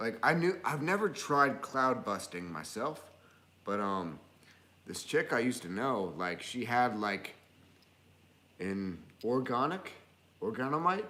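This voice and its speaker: Amid audible room echo, a man with a bright, sharp tone and medium pitch makes very wide pitch swings at a fairly slow pace, with long, frequent pauses. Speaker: live stream co-host. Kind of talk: casual chat. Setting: live stream.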